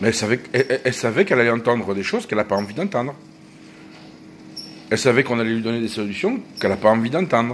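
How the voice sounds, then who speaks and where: A man talks very fast at a medium pitch with ordinary pitch variation. He leaves long, frequent pauses. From France, partly Corsican origin. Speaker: vlogger. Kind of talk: casual monologue vlog. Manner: animated.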